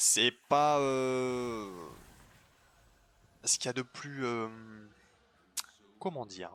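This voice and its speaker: A man speaks at a medium pitch with ordinary pitch variation. His speech has long, frequent pauses. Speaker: gaming youtuber. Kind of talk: gameplay commentary. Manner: fast; casual, filler-heavy.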